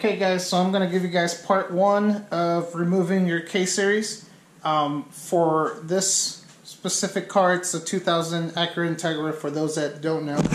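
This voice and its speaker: A man with a high-pitched voice speaks at a moderate pace with fairly even intonation, and room echo can be heard. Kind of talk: casual vlog chat. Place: garage. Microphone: phone near.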